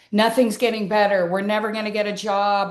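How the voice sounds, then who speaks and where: A woman's voice at medium pitch. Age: 60s. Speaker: podcast host. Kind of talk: interview conversation. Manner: rambling, halting.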